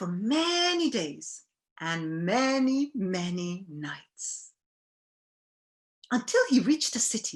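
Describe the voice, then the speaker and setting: Very wide pitch swings run through a woman's speech. She goes very slowly, with long, frequent pauses. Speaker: storyteller. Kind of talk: children's storytelling to an audience, interactive. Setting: recorded with families during a festival session.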